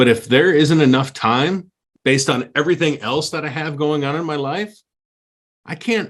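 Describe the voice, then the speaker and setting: A man speaks at a fairly high pitch. His voice has vocal fry. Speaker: podcast co-host. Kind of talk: casual chat. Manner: loud.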